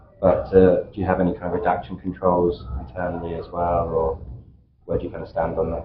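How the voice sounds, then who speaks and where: In a British accent, a man talks at a fairly quick pace with a very deep, low pitch and monotone, flat intonation. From UK. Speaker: vendor representative on panel. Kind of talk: panel discussion.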